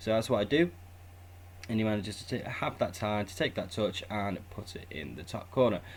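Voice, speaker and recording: With a British accent, a man speaks at a moderate pace in a fairly low, somewhat breathy voice, with ordinary pitch variation and big swings in loudness. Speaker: gaming YouTuber. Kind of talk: gameplay tutorial commentary. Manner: casual.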